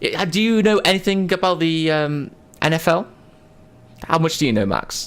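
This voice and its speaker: Speaking in an American accent at a moderate pace, a man keeps a high pitch with ordinary pitch variation and very even loudness, leaving long, frequent pauses. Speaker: podcast host. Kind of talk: casual chat. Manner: animated.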